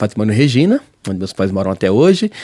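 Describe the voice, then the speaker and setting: A man talks in a dark, mellow tone. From southern Brazil, Paraná (Londrina); born Pernambuco. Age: 40s. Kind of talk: interview testimony.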